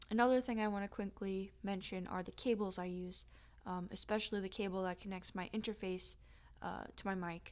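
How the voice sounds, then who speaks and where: A woman at a medium pitch, fairly quick and monotone with flat intonation, on a very clean recording with a silent background. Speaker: home-recording musician. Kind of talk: equipment tutorial. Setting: home studio. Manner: hesitant, many fillers.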